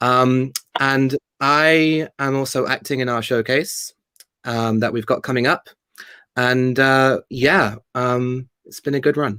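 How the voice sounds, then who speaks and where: At a very slow pace, a man with a medium pitch and a bright, sharp tone speaks with fairly even intonation in a dry, close sound with no echo. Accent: British. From Spain. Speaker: theatre company founder and actor. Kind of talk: interview.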